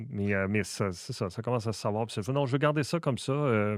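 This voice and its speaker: On a very clean recording with a silent background, a man speaks with a Quebec accent and ordinary pitch variation. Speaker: comedian and content creator. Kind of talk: casual interview chat.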